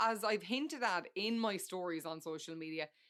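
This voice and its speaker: In a very clean recording with a silent background, a woman with an Irish accent speaks in a bright, sharp tone with ordinary pitch variation. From Ireland. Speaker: podcast host. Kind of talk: casual chat. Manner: conversational with fillers.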